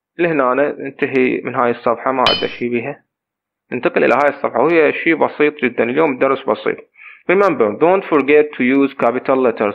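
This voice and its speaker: A man with an Iraqi accent, fairly high pitch, moderate pace and ordinary pitch variation. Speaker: English teacher. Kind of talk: lesson.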